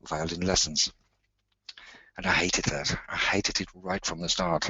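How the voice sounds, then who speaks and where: This is a man speaking. He has a German accent. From southern Germany. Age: 60s. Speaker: musician and patient speaker. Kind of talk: webinar talk. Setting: online webinar. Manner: halting.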